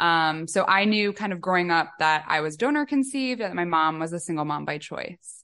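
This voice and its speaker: Bright and sharp in tone, a woman with a Midwestern accent talks at a fairly quick pace and fairly low pitch with lively intonation. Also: hardly any pauses. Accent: American Midwest. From US Midwest, Chicago. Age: 20s. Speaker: author and donor-conception advocate. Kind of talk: podcast interview.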